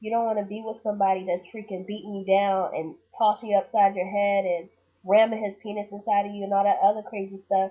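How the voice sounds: A fast-paced woman at medium pitch, with little pitch movement.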